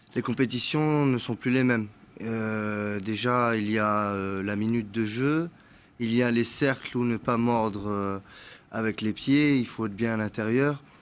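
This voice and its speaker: A man with an unremarkable speaking voice, medium in pitch, fairly even in intonation, at a fairly slow pace. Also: very clean recording, silent background. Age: 20s. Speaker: young petanque player. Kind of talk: TV interview. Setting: TV studio.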